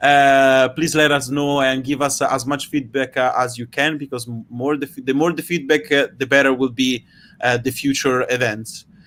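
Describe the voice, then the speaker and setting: Speaking with a strong Italian accent, a man talks at a moderate pace and medium pitch with fairly even intonation. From Italy. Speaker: online science event host. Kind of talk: casual live stream sign-off. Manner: hesitant, many fillers.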